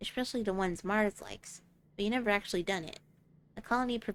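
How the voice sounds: Ordinary pitch variation shapes what is a natural reading voice.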